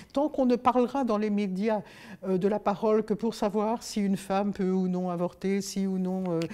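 At a moderate pace, a woman speaks with a medium pitch, a dark, mellow tone and fairly even intonation. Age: 70s. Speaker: author and youth leader; interviewee. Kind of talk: interview. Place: studio.

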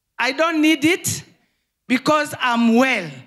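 The background is quiet as a woman speaks with a high pitch. Her pitch varies in an ordinary way. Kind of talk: testimony. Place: hall. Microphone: handheld.

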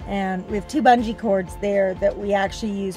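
A woman's fairly even intonation comes through a dry sound with no echo, with clear music in the background. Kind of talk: casual vlog chat. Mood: pleased, relaxed. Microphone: phone near.

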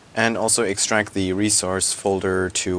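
A man's very deep, low voice at a moderate pace, with noticeable background noise. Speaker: software tutorial creator. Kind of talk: screen-recorded software tutorial.

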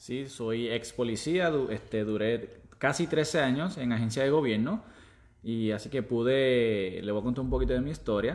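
A man is talking with ordinary pitch variation. His pace is moderate. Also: medium pitch for a man. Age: 30s. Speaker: former police officer turned online entrepreneur. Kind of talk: casual chat on live stream. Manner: halting.

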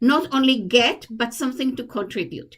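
A woman at a high pitch with a fairly slow pace. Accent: Israeli. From Israel. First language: Hebrew. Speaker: commission applicant, poet. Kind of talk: interview. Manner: halting.

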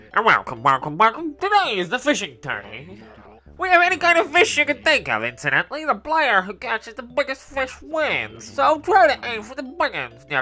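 The voice is a put-on character voice. Its pitch is high. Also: fairly quick pace. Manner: welcoming, announcer-like.

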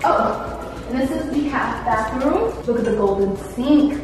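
Clear music plays behind a woman speaking at a very slow pace. Her pitch varies in an ordinary way, and the room adds audible echo. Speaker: vlogger. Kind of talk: casual vlog chat. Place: home room.

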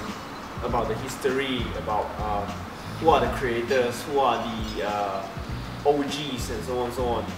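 The speaker goes at a fairly slow pace. Behind the speech there is music. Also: man. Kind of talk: interview answer. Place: hall. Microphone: camera far.

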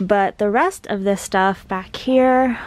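A woman talks at a very slow pace in a dry sound with no echo. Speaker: vlogger decluttering her parents' garage. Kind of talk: casual vlog chat. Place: garage. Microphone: phone near.

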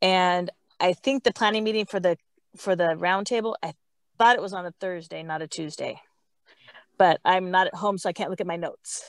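Speech comes at a fairly quick pace, broken by long, frequent pauses, with ordinary pitch variation. The sound is dry with no echo against a quiet background. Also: woman. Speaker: scout troop parent volunteer. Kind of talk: video call update. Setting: in a car. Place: forest. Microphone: earbuds.

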